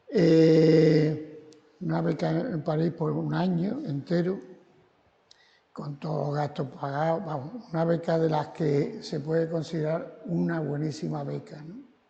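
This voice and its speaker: A man's voice is dark and mellow, fairly high in pitch, moving at a fairly slow pace with ordinary pitch variation. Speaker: gallery owner. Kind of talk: guided exhibition tour. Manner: soft-spoken. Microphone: too quiet.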